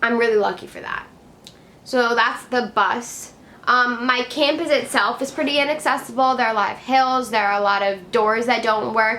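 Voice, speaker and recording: There is audible room echo as a woman with an American accent speaks at a fairly high pitch in a bright, sharp tone with fairly even intonation. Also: moderate pace. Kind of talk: vlog, casual talk to camera. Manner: casual, many fillers.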